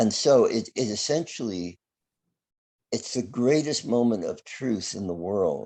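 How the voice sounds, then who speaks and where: Against a quiet background, a man with a medium pitch and a dark, mellow tone speaks at a fairly slow pace with lively intonation. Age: 70s. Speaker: astrologer. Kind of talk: interview.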